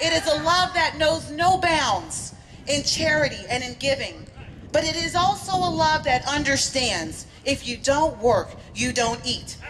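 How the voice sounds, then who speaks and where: Loud and fairly slow, this speaker has an American accent, with light background noise behind the voice. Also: woman. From East Texas. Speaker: political commentator; speaker, commentator. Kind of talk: rally speech. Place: street. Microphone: podium.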